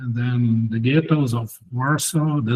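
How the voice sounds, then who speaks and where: Speaking at a very slow pace with a Portuguese accent, a man uses a medium-pitched, somewhat breathy voice with a dark, mellow tone and ordinary pitch variation. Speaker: PhD student. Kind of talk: casual chat.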